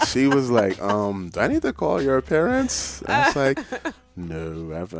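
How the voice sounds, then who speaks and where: A man's fairly slow speech in a New York accent, with noticeable background noise. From Ghana and Brooklyn, New York. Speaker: writer. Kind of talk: casual interview. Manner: animated.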